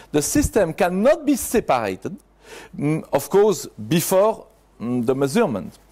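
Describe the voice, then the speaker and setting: A man with a French accent speaks at a high pitch. His tone is dark and mellow, with very wide pitch swings. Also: moderate pace. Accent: French accent, non-native English. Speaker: conference speaker. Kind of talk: conference talk. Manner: halting, with hesitations.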